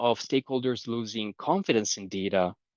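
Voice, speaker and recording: A man with a Romanian accent, medium pitch and a moderate pace. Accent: non-Canadian accent, Romanian. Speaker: conference speaker, data governance expert. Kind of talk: conference talk. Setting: conference presentation.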